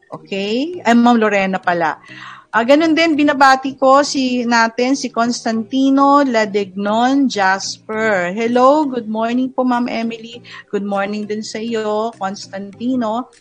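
A fairly high-pitched woman at a fairly slow pace, with ordinary pitch variation and music in the background. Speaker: program host. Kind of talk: talk show with live viewer greetings.

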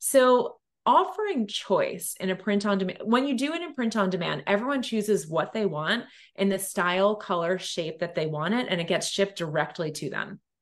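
Here, a woman at medium pitch talks at a moderate pace with lively intonation. It is a plain, everyday voice. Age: 40s. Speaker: entrepreneur. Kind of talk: casual chat.

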